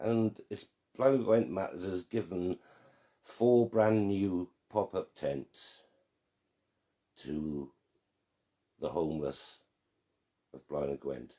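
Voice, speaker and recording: Speaking with a Welsh accent at a very slow pace, a man with a fairly low pitch and dark, mellow tone uses lively intonation, big swings in loudness, and long, frequent pauses. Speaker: online group admin and quiz host. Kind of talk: live quiz hosting. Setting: live stream. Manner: slightly slurred speech from strokes.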